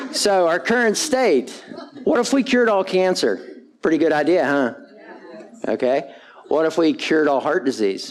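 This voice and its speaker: A man with a high pitch speaks at a moderate pace, his pitch swinging very widely while his loudness stays very even. Long, frequent pauses break up his speech over noticeable background noise. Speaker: physician and keynote speaker. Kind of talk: conference talk. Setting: stage with audience. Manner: blunt, animated.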